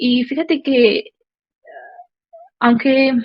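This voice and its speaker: Pitch rises and falls in an ordinary way. A somewhat breathy sound runs through the voice. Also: woman. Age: 20s. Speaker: church member sharing testimony. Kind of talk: testimony. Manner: halting, many fillers.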